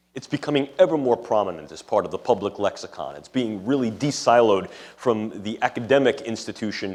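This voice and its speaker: Speaking with a strong New York accent, a man talks at a fairly quick pace and medium pitch. His intonation is lively, and his loudness swings a lot. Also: hardly any pauses. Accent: thick New York City. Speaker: neuroscientist and ethics lecturer. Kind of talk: lecture. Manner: formal.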